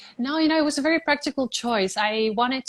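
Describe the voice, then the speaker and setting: A woman with a Spanish accent. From Puerto Rico. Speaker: beauty pageant titleholder. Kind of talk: interview. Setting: live stream from her apartment.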